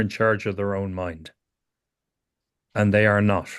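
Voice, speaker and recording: A man with an Irish accent at a moderate pace against a quiet background. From Ireland. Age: 60s. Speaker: psychotherapist teacher. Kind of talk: lecture.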